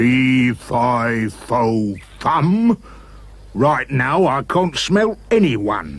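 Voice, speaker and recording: A man performs a put-on character voice at a medium pitch. He delivers it at a very slow pace. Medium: read story.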